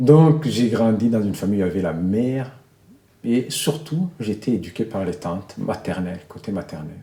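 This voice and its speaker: A man has an ordinary speaking voice with a fairly low pitch. He talks at a moderate pace with lively intonation. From central Burundi, rural. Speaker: documentary subject, journalist. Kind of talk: interview testimony.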